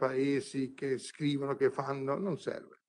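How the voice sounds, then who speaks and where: Here a man speaks with a fairly high pitch. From southern Italy, Bari province (Puglia); Puglia, Italy. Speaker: honorary ambassador; conference guest. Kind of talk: conference speech. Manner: impassioned. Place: hall. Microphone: podium.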